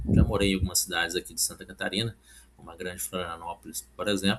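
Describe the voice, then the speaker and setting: Against noticeable background noise, a man talks in a very deep, low pitch with ordinary pitch variation. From Brazil, Minas Gerais (Oliveira). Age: 40s. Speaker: civil service exam candidate and study coach. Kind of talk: casual vlog talk with product pitch. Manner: informal, with many fillers.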